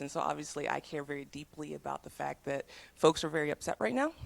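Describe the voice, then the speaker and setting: Talking at a very fast pace, a woman has an American accent. Her pitch is very deep and low, with vocal fry. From US South. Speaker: tech program manager. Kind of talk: talk to students.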